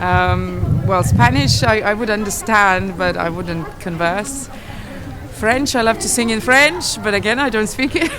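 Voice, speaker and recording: A woman speaks at a fairly slow pace with a Lithuanian accent. There is audible room echo and noticeable background noise. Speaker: classical singer. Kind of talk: street interview. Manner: halting.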